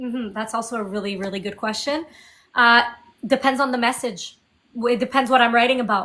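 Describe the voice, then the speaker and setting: Pitched high, a woman's bright, sharp voice moves at a fairly quick pace with fairly even intonation. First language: French. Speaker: indie singer-songwriter. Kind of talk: interview.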